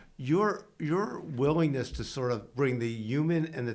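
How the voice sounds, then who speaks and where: A man talks at a moderate speed amid audible echo from the room. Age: 70s. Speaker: healthcare executive and advisor. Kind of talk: interview.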